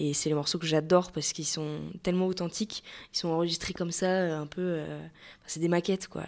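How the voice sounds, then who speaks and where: On a very clean recording with a silent background, a woman speaks at a fairly quick pace in monotone, flat intonation. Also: fairly low pitch for a woman. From western France, Maine-et-Loire. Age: 20s. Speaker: singer. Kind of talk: interview. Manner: hesitant, many fillers.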